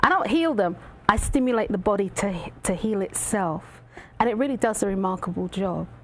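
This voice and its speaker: With a slight London accent, a woman talks at a fairly quick pace at medium pitch with ordinary pitch variation, against noticeable background noise. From London, England, of Jamaican heritage. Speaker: reflexologist. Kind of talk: talk show interview. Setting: studio. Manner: animated.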